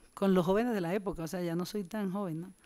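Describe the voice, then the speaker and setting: Against quiet surroundings, a woman is talking. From Colombian Caribbean, Montes de María; Colombia. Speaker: community activist; speaker. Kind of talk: panel discussion. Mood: earnest, reflective. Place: hall. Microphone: podium.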